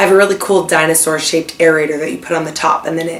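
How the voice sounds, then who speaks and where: A woman at a very fast pace, fairly low in pitch, with fairly even intonation amid noticeable background noise. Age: 20s. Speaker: vlogger, kindergarten teacher. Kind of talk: casual chat.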